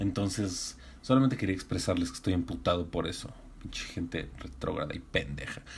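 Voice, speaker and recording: A man speaks with a Mexican accent and lively intonation. Vocal fry runs through his voice. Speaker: podcast host. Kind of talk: casual monologue. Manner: animated.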